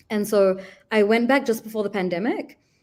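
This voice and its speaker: In a New Zealand accent, a woman speaks at a fairly quick pace with ordinary pitch variation, in a very clean recording with a silent background. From New Zealand, Auckland. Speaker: diplomat. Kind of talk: interview chat. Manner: casual, many fillers.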